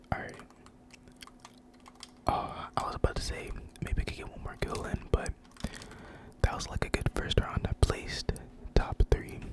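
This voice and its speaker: A man whispers in a relaxed tone at a moderate pace. His loudness swings widely, and he takes long, frequent pauses. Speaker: gamer ASMR creator. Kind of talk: ASMR gaming commentary. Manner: whispered, relaxed.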